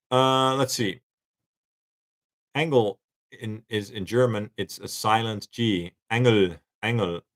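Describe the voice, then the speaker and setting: Recorded dry and close with no echo, a man with a Dutch accent speaks at a fairly low pitch with ordinary variation. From Netherlands. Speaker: YouTube guitar and gear creator. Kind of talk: live-stream Q&A. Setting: live stream. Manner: casual, hesitant with fillers.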